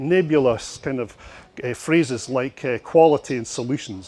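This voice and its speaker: Scottish accent from a man. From Scotland. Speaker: marketing consultant and speaker. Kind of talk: conference presentation. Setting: stage with audience at expo. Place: hall. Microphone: handheld.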